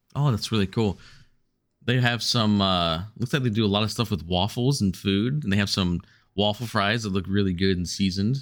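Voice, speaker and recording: A man with an unremarkable speaking voice talks at a moderate pace, his pitch fairly low and its variation ordinary. His loudness stays very even on a very clean recording with a silent background. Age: 30s. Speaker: podcast guest. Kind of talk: casual chat.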